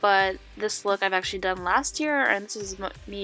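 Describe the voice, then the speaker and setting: A woman's medium-pitched voice with ordinary pitch variation over music in the background. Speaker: makeup artist. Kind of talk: makeup tutorial voiceover. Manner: casual, chatty.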